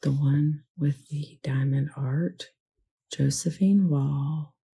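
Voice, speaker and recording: A quiet, somewhat breathy voice in a dark, mellow tone, very slow, with ordinary pitch variation. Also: woman, very deep, low pitch for a woman. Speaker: crafting YouTuber. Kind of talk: casual craft vlog chat. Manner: talking quietly.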